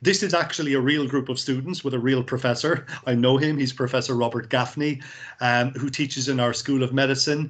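With a Cork accent, a man talks at a fairly quick pace and medium pitch against a quiet background. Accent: Cork Irish. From Ireland, Cork; Ireland. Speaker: university recruitment representative; presenter. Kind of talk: presentation. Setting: video call. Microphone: video call.

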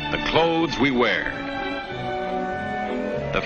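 Loud music in the background plays while a man talks. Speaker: newsreel narrator. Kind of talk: 1950s promotional newsreel narration. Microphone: old recording.

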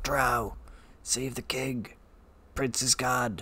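A put-on character voice sounds raspy at a low-to-middle pitch.

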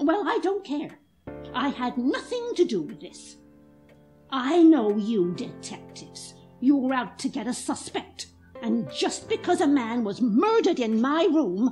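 A woman speaks at a moderate pace in a high voice, her pitch swinging very widely and her loudness rising and falling a lot. Faint music plays in the background. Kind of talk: 1940s radio drama. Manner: brisk, tart, unflappable.

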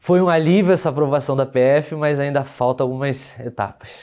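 A man talks at a moderate pace with a fairly high pitch, a dark, mellow tone, and ordinary pitch variation. The background is quiet. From Brazil, Rio de Janeiro city. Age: 30s. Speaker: lawyer and police exam candidate; lawyer, candidate. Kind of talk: testimonial interview. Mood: relieved, content. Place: studio. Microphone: lapel.

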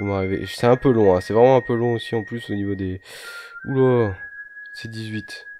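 A soft-spoken man talks at a moderate pace and medium pitch, with fairly even intonation and long, frequent pauses. His loudness swings a lot, and there is noticeable background noise. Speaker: gaming YouTuber. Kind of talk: gameplay commentary. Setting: home recording late at night. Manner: quiet, speaking softly.

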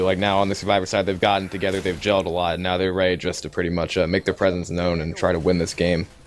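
A man speaks at a very fast pace in a very deep, low voice. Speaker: esports caster. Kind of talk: live commentary.

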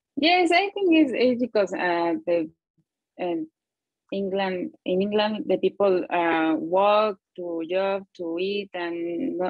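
A very slow, lively-intoned voice with a Spanish accent, dry with no echo, over a quiet background. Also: woman. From Mexico City area. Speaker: English learner, project manager. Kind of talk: interview. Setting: video call from her office. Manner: halting. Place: home room. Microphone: earbuds.

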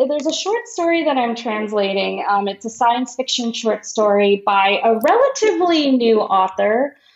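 With hardly any pauses, a woman with an American accent speaks at a moderate pace, her pitch swinging very widely, over noticeable background noise. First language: Marathi. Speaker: literary translator. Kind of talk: interview conversation. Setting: video call. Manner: hesitant, many fillers and repetitions.

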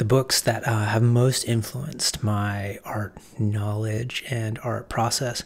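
Soft-spoken and somewhat breathy, a man talks at a very slow pace. His intonation stays fairly even. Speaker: art teacher and writer. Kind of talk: casual talk to camera.

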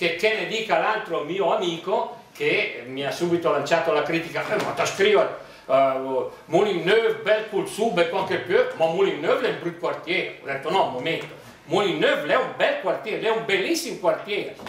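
A man's high voice at a moderate pace, with audible room echo and light background noise. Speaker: dialect poet. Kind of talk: book presentation talk. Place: hall.

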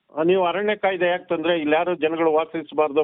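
A man speaks with a normal speaking voice. His pitch sits fairly high. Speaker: advocate and community activist. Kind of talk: interview.

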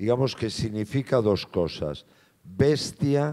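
A man's dark, mellow tone carries lively intonation over a quiet background. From Galicia, Spain. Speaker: film actor. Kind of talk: Q&A at a film screening. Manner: halting, repeats words. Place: hall. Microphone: handheld.

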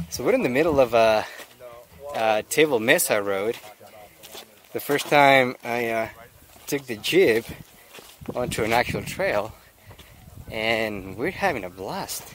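Over light background noise, a man speaks at a fairly slow pace with lively intonation, the sound dry with no echo. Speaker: trail vlogger. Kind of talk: casual vlog chat. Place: open country. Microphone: phone near.

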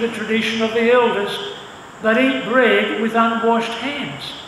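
Fairly even intonation and a fairly slow pace come through over noticeable background noise. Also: man. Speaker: church service announcer and scripture reader. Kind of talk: announcements and scripture reading. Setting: church.

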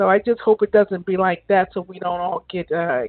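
Raspy, with fairly even intonation. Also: woman, fairly low pitch for a woman, moderate pace.

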